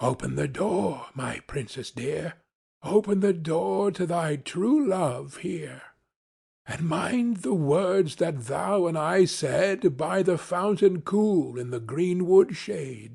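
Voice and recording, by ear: A man puts on a character voice, pitched high for a man. He speaks at a very slow pace.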